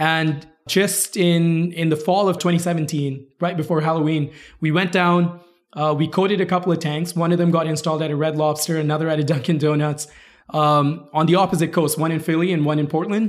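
Speaking fairly quickly, a man with a fairly high voice keeps a flat, monotone delivery at very even loudness. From India and Kuwait. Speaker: startup CEO, engineer. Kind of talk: interview. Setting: at a tech conference.

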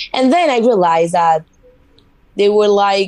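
A woman speaks in a Spanish accent. Her pitch sits in the medium range. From Spain (Mallorca). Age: 20s. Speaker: model. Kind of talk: interview.

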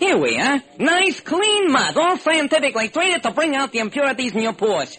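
In a put-on character voice with a bright, sharp tone, the speaker moves at a moderate pace through big pitch swings. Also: man, extremely high pitch for a man.

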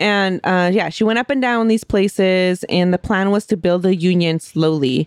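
Using an ordinary speaking voice, a woman at medium pitch speaks with hardly any pauses, ordinary pitch variation and very even loudness. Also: moderate pace. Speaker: podcast co-host. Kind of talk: casual chat and storytelling.

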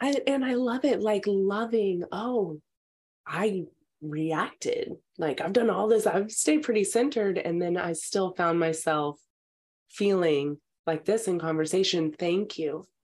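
In an American accent, an ordinary speaking voice moves at a fairly slow pace with lively intonation. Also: woman, medium pitch for a woman. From Texas. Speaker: actress and comedian. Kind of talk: casual chat.

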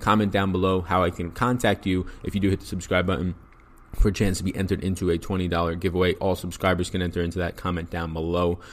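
In a New York accent, a man with a very deep, low pitch talks at a very fast pace in a monotone, flat intonation. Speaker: fantasy sports analyst. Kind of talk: podcast sports picks breakdown. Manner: fast talker.

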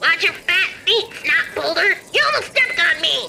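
A put-on character voice at an extremely high pitch, with clear background noise. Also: moderate pace. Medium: audio drama. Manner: sarcastic, crude, gleeful.

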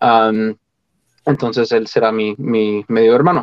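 This is a man talking very slowly. His voice sits at a medium pitch. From Colorado, US. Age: 20s. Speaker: opera singer. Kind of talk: interview. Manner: halting.

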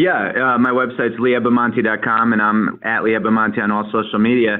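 With a normal speaking voice, a man talks at a fairly quick pace, keeping a medium pitch and fairly even intonation. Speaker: travel expert. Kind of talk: radio interview.

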